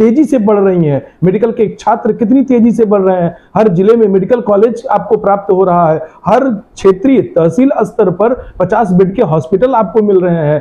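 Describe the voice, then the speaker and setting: This man's voice is high-pitched. Its pitch varies in an ordinary way. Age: 40s. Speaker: politician's representative. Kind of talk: interview. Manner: formal; hesitant fillers.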